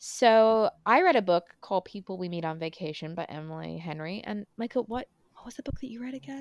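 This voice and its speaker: A woman with an ordinary speaking voice talks at a fairly quick pace and medium pitch, her loudness swinging widely in a dry, close sound with no echo. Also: lively intonation. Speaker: podcast host. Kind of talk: casual chat. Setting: home recording, remote.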